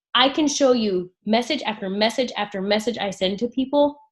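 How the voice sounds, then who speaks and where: Against a quiet background, a woman with a fairly high pitch speaks at a moderate pace, somewhat breathy, with lively intonation and an animated tone. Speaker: network marketing team leader. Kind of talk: team training call.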